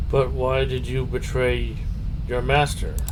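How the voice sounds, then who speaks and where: A man's put-on character voice at a fairly slow pace, against loud background noise. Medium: actual play.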